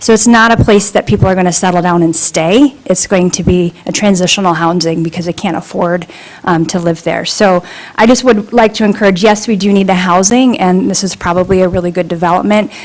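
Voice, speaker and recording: A woman with an American accent at a fairly quick pace, over noticeable background noise. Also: medium pitch for a woman, ordinary pitch variation. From northern Michigan. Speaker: public commenter at township meeting. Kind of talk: public comment. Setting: public meeting room.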